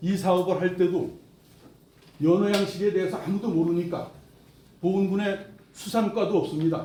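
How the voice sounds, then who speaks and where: A man with a high pitch talks at a moderate pace with ordinary pitch variation and long, frequent pauses, amid noticeable background noise and audible room echo. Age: 70s. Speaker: project committee chairman. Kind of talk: press conference statement. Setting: press conference.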